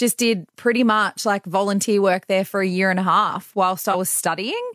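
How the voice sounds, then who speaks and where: A woman with an Australian accent at a medium pitch, fairly quick and fairly even in intonation, in a dry, close, very clean recording with no echo and a silent background. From country New South Wales, Australia. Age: 30s. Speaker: breakfast radio host. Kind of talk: casual interview chat.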